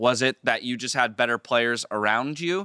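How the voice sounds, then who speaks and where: A man with a West Coast American accent speaks at a moderate pace in a bright, sharp tone with ordinary pitch variation. The sound is dry and close with no echo, in a very clean recording with a silent background. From US, Southern California (San Diego). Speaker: esports podcast host. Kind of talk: casual interview.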